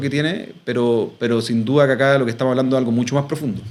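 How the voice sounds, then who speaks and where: The man's intonation stays fairly even as he talks very fast. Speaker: expert on ageing and silver economy. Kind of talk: interview conversation. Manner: hesitant, many fillers and repetitions.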